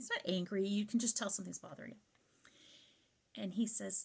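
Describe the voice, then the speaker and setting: Speaking at a very fast pace, a woman has a medium pitch and vocal fry. Her tone is animated. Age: 50s. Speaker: vlogger, mother. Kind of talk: storytime monologue.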